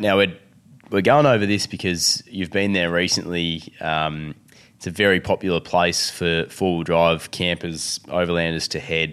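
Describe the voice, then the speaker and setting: Speaking at a moderate pace with an Australian accent, a man has a very deep, low pitch and ordinary pitch variation on a very clean recording with a silent background. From Victoria, Australia. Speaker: podcast host. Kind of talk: casual chat.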